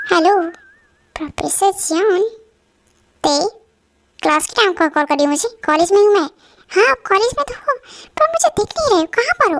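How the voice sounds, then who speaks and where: A woman's put-on character voice at an extremely high pitch, fairly quick in pace, with lively intonation and a dry, close sound without echo. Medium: solo performance. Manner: playful, teasing.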